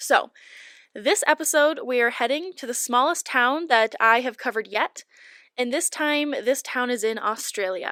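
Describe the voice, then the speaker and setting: A woman speaks in a raised, projected voice at a moderate pace, her pitch high and her tone bright and sharp. The sound is dry and close, with no echo. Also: ordinary pitch variation, very clean recording, silent background. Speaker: true crime podcast host. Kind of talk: podcast narration.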